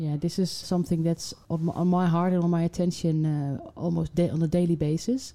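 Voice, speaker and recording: Fairly low in pitch and dark, mellow in tone, a woman speaks at a fairly quick pace with fairly even intonation and very even loudness. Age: 40s. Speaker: HR executive. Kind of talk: interview.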